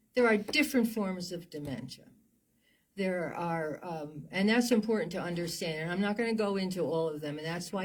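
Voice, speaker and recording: Somewhat breathy and fairly low-pitched, a woman with an American accent speaks at a moderate pace with ordinary pitch variation. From US Northeast (New Jersey). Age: 80s+. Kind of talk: interview. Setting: studio.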